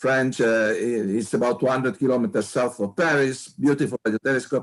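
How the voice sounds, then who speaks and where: With an Italian accent, a man speaks at a medium pitch and moderate pace over a quiet background. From Italy, Turin. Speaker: astronomer. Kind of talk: interview. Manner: halting, repeats words.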